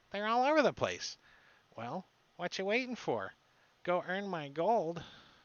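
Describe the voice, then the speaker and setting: A man's put-on character voice, pitched high. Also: moderate pace. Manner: impatient, bossy.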